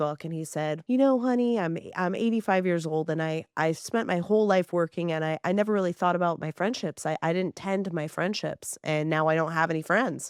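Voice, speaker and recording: An ordinary speaking voice: a woman with an American accent, fairly low in pitch, at a fairly quick pace with ordinary pitch variation, in a very clean recording with a silent background and a dry, close sound with no echo. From southern California. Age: 40s. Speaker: podcast host. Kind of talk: casual interview chat.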